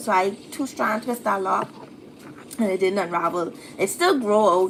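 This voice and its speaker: A woman with a Bahamian accent speaks with ordinary pitch variation. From Bahamas. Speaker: YouTuber answering hair and style questions. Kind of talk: live stream Q&A. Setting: live stream. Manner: casual, chatty.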